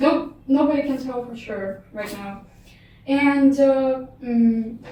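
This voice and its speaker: A woman's high-pitched voice with a Russian accent, very slow, with ordinary pitch variation, big swings in loudness and audible room echo. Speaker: artist and linguistics student. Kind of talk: casual chat. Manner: hesitant, many fillers.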